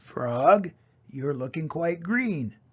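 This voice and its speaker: The speaker is a man doing a put-on character voice. He pitches it fairly high. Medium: read story.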